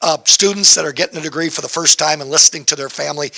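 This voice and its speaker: The speech comes at a very fast pace in a dry, close sound with no echo, amid noticeable background noise. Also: man. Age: 60s. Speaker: community college instructor. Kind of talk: panel discussion.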